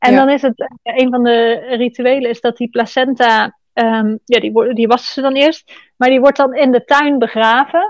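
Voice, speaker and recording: Fairly even intonation with hardly any pauses, in a dry, close sound with no echo. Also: woman, high pitch for a woman, moderate pace. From Netherlands. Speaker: podcast guest sharing birth story. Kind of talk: casual interview.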